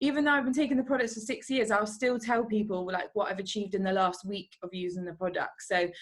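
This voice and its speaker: A woman talks at a fairly quick pace with medium pitch and ordinary pitch variation. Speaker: network marketing distributor. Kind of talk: online team training call. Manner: fast.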